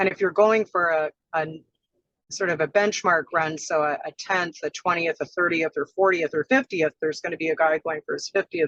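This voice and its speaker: At a moderate pace, a woman with a fairly low pitch and fairly even intonation is heard in a dry, close sound with no echo. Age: 60s. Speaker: marathon runner. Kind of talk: interview. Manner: halting.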